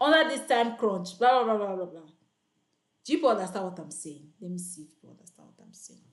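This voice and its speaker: A woman speaks loudly at a very fast pace. Her medium pitch moves in very wide swings. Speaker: online freelancing coach. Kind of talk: live tutorial. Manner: animated.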